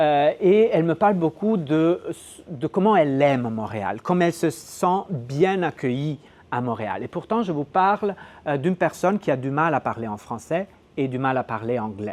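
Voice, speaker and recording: Lively intonation marks this man's fairly high voice as he talks at a moderate pace. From northern Italy (Gallo-Italic dialect region). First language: Gallo-Italic Italian dialect (speaking French). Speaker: sociolinguistics researcher. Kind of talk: academic lecture. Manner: hesitant, many fillers and repetitions.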